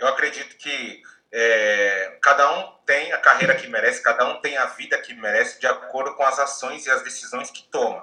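A man speaks at a moderate pace. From Bahia, Brazil. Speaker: career coach. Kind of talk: casual chat.

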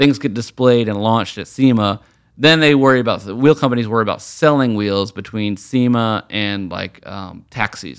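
Showing big swings in loudness, a man with an American accent speaks at medium pitch and a moderate pace with ordinary pitch variation, on a very clean recording with a silent background. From Virginia, US. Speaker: wheel designer. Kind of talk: casual interview. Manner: animated.

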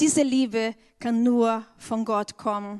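Fairly high in pitch, a woman speaks with fairly even intonation in a Portuguese accent. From Brazil. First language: Portuguese (speaking German). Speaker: church member, educator. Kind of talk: church testimony. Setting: church stage.

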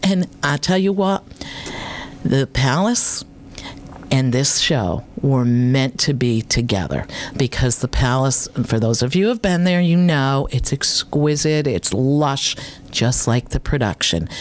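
A woman talks with a very deep, low pitch and lively intonation, at a fairly slow pace. Her loudness stays very even, with noticeable background noise behind her. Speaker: radio host. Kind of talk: casual chat. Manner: animated.

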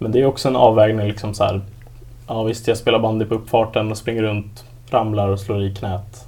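A man talks at a moderate pace with a fairly low pitch. Noticeable background noise runs behind him. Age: 20s. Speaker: patient with hemophilia. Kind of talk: casual chat.

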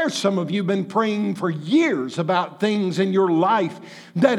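A man with a high voice talks in a room with audible echo. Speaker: pastor. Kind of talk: sermon. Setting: church.

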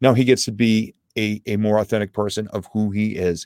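At a moderate pace, a man with a fairly low pitch talks in a normal speaking voice. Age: 50s. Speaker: guest coach. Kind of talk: casual conversation. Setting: video call.

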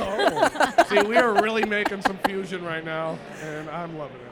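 A man with an American accent, high-pitched and lively in intonation, at a moderate pace with big swings in loudness over noticeable background noise.

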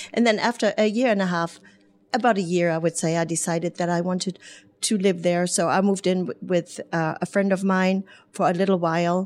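A woman with a German accent speaks at a fairly quick pace, her medium-pitched voice keeping a fairly even intonation. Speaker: hairdresser and business owner. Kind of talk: radio interview. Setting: studio.

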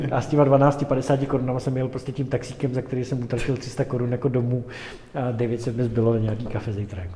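A man's medium-pitched voice at a fairly quick pace, flat and monotone, over noticeable background noise. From Prague, Czech Republic. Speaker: entrepreneur. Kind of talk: interview.

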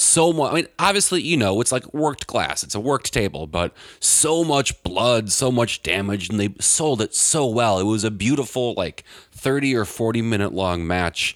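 In an American accent, a man talks in an animated tone at medium pitch with very wide pitch swings. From US Midwest. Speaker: wrestling fan, podcast guest. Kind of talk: casual chat. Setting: house basement. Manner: fast talker.

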